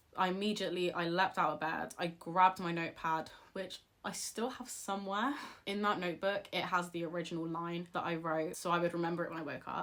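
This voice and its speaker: A woman speaks with a British accent. Her voice is fairly low in pitch and moves at a fairly quick pace. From England. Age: 20s. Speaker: author and video creator. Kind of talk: casual advice vlog. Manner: animated.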